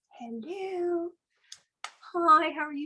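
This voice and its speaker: Her pitch sits extremely high. The woman is doing a put-on character voice. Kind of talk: polite, formal.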